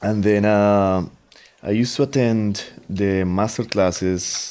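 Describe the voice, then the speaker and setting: Over noticeable background noise, a man with a Colombian accent talks at a fairly slow pace in a fairly low pitch. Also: fairly even intonation. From Colombia, Bogota. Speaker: guitarist and composer. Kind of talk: interview.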